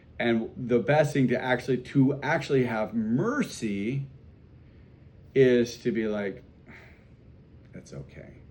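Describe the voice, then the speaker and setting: This man talks at a very slow pace in a medium pitch, with ordinary pitch variation. His loudness swings widely, and he leaves long, frequent pauses. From South Dakota. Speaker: priest teaching catechism class. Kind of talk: catechism class discussion. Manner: casual, conversational.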